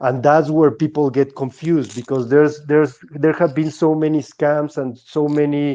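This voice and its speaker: A man with a Mexican accent talks at a moderate pace with hardly any pauses. His fairly high voice has a dark, mellow tone and a monotone, flat intonation. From Mexico. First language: Spanish. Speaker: Bitcoin artist. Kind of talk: podcast interview. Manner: halting, many repetitions.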